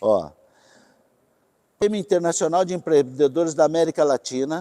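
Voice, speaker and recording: The sound is dry and close with no echo as a man with a high pitch and a dark, mellow tone speaks at a moderate pace. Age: 60s. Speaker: company president. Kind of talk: corporate talk to employees.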